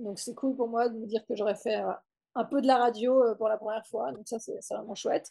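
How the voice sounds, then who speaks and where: At a moderate pace over a quiet background, a woman speaks with a fairly high pitch, a dark, mellow tone and fairly even intonation. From French-speaking Switzerland, Nyon near Lausanne; Switzerland. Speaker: mantrailing instructor; interviewee. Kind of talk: interview. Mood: warm, relaxed. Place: home room. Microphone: video call.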